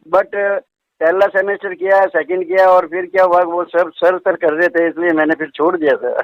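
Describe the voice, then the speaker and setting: A man's high voice at a moderate pace, with fairly even intonation. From Rajasthan, Jodhpur. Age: 70s. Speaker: artist and retired research officer. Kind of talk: interview.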